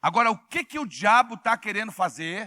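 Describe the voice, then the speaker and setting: The voice is raised and projected, with an animated, bright, sharp tone and lively intonation. The recording is very clean with a silent background, dry and close with no echo. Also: man. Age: 60s. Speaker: pastor. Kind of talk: sermon. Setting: church with congregation. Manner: animated, call-and-response with congregation.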